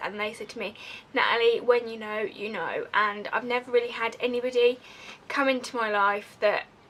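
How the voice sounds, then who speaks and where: With noticeable background noise behind her, a woman speaks at a fairly high pitch with fairly even intonation. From Essex, England, moved elsewhere at nine. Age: 20s. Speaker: vlogger. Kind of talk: personal confessional vlog. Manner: casual, rambling.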